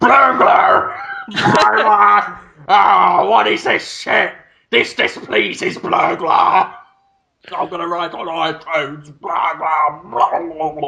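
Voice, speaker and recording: A man's put-on character voice, high in pitch and very slow in pace. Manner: angry, ranting.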